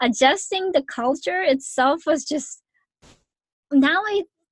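With a Japanese accent, a woman speaks in very wide pitch swings. The recording is dry and close, with no echo. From Japan, Yokohama. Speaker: podcast host and life coach. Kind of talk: casual interview.

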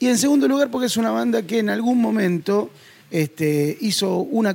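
A man speaks in a Rioplatense accent. His pitch swings very widely. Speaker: podcast host. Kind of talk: casual chat.

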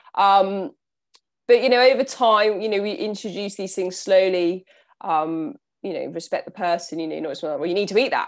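A woman with a southern English accent speaks at a moderate pace, with a medium pitch and ordinary pitch variation. Her loudness swings widely, and the recording is very clean with a silent background. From southern England, Southampton. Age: 30s. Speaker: nutritionist and endurance athlete. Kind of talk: casual interview.

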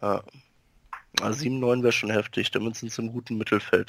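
A man's medium-pitched, monotone, flat delivery at a moderate pace, with a dry, close sound and no echo. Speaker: podcast co-host. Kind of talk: casual chat.

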